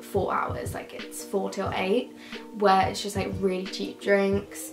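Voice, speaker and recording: A woman at a moderate pace, with audible room echo and clear music in the background. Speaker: university student vlogger. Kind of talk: casual vlog chat. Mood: upbeat, chatty. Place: home room. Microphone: camera far.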